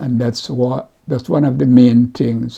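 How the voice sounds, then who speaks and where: A man speaks in a medium pitch with a strong Jamaican accent. His pace is very slow. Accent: Jamaican, kept strong after sixty years. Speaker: community mentor and mental health advocate. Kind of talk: interview. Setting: at home, recorded on camera. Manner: halting, repetitive.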